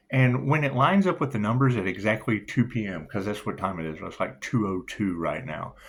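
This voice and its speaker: With a plain, everyday voice, a man of fairly low pitch talks at a fairly quick pace with hardly any pauses. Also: lively intonation. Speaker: tarot reader. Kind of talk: channeled tarot reading monologue. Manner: casual, freewheeling.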